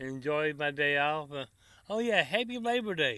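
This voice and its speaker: With a Tennessee accent, a man with a fairly high pitch and a bright, sharp tone speaks at a fairly slow pace, his pitch swinging very widely. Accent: Tennessee Southern. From Tennessee, US South. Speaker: cooking vlogger. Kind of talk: casual chat to camera. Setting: outdoors by the grill. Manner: relaxed, folksy.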